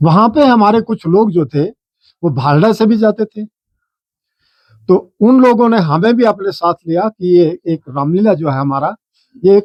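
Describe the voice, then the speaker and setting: A man speaks with lively intonation. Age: 60s. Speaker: Ramlila club member. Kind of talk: interview.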